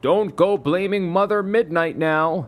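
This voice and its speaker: This is a put-on character voice at a middle pitch. The delivery is fairly slow. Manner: scolding, finger-wagging.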